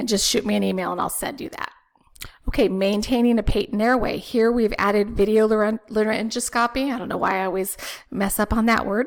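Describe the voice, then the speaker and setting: A woman's fairly high voice, an ordinary speaking voice, fairly quick and fairly even in intonation. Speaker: respiratory therapy educator. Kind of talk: webinar presentation.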